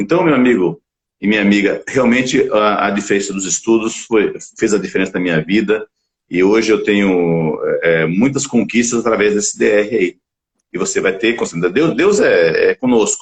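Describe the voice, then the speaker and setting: Keeping his loudness very even, a man talks at a moderate speed. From Bahia, Northeast Brazil. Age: 60s. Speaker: talk show host and physician. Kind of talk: live-streamed interview show. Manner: animated, motivational.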